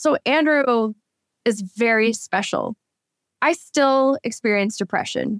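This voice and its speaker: This is a normal speaking voice at a fairly slow pace with ordinary pitch variation. The sound is dry and close, with no echo. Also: woman. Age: 40s. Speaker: author. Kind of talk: interview.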